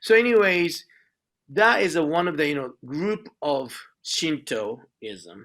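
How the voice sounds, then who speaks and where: With a Japanese accent, a man speaks very slowly in a fairly high pitch, his bright, sharp tone moving through very wide pitch swings. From Japan, Nagoya. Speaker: speaker on Shinto at an interfaith event. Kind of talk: presentation to an audience. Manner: halting, many fillers.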